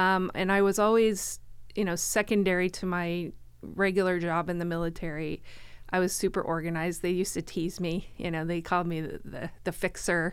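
In a very clean recording with a silent background, a woman with an American accent speaks fairly quickly in a fairly low voice, her intonation monotone and flat. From Florida. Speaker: chamber of commerce director. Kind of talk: casual interview. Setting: studio.

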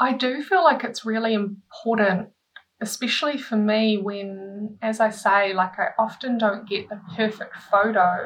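A woman speaks with a New Zealand accent, her voice fairly high and somewhat breathy. She talks at a fairly slow pace with ordinary pitch variation. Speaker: artist. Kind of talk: casual interview chat.

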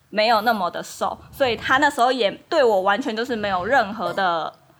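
With a normal speaking voice, a woman talks at a moderate pace, her fairly high pitch carried by lively intonation. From Taiwan, Kaohsiung. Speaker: Taiwanese wife of a Dutch man. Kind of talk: casual chat.

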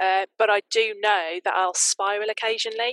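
A woman with a bright, sharp tone and medium pitch speaks in a monotone, flat intonation, the sound dry and close with no echo. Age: 40s. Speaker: author and freelance writer. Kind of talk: casual interview.

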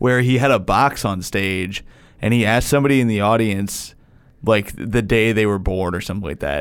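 A man speaks at a moderate pace with a plain, everyday voice. His pitch is fairly low, with ordinary variation. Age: 30s. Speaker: comedian. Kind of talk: casual chat.

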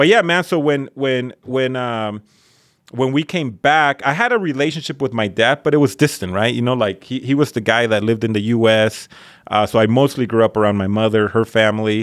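Fairly quick speech from a man with a Spanish accent at a medium pitch, on a very clean recording with a silent background. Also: ordinary pitch variation. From Mexico (Colima), then Northern California labor camp. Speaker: high school principal. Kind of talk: casual chat. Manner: repetitive false starts, casual.

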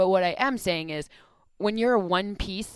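An ordinary speaking voice with an American accent moves at a moderate pace with lively intonation, recorded very cleanly over a silent background. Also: woman. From US Midwest, Michigan. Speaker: football analyst. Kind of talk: casual chat.

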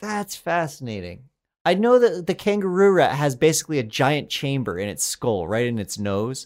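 In an American accent, a man speaks at a fairly high pitch with very wide pitch swings. The recording is very clean, with a silent background. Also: moderate pace. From Colorado. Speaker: comedy writer and podcast co-host. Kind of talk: casual chat.

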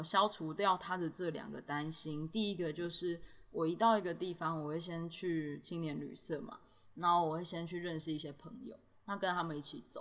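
Her voice sits fairly low for a woman, moving at a moderate pace with ordinary pitch variation. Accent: Taiwanese. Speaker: backpacker and portrait illustrator. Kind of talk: casual interview. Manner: laughs often.

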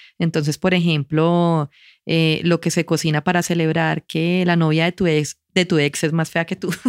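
Delivered at a fairly slow pace with monotone, flat intonation and very even loudness, the voice has a dry, close sound with no echo on a very clean recording with a silent background. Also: woman, fairly low pitch for a woman. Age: 40s. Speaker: advertiser and cooking teacher. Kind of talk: casual interview.

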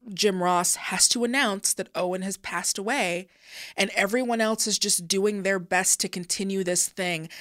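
This woman has an ordinary speaking voice at a medium pitch, with fairly even intonation. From Seattle, US Pacific Northwest. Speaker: podcast host, wrestling commentator. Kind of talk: casual chat, explaining history.

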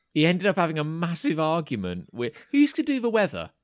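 The speaker uses lively intonation with an English accent. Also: man. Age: 30s. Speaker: podcast host. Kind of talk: casual chat. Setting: remote call.

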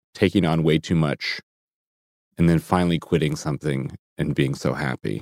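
The recording is very clean, with a silent background and a dry, close sound with no echo. A man talks at a moderate pace with vocal fry. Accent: American. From US Midwest (Chicago suburbs and Minneapolis). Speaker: comedian and performer. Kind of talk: casual chat. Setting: studio.

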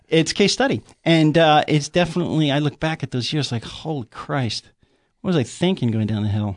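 In a normal speaking voice, a man speaks at a fairly quick pace with lively intonation against a quiet background. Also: fairly high pitch for a man. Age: 50s. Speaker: podcast guest, artist. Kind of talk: casual chat.

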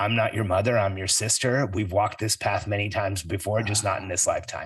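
A man puts on a raspy character voice pitched fairly low. He rattles through his lines at a very fast pace.

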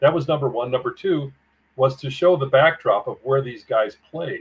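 A man with an unremarkable speaking voice talks at a moderate pace. His intonation is fairly even. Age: 60s. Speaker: author. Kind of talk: interview.

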